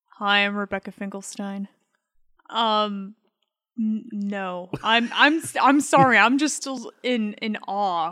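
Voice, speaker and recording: A woman with an American accent talks at a very slow pace in a fairly high voice with ordinary pitch variation. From Michigan. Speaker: host's wife, guest. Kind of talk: casual chat. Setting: studio.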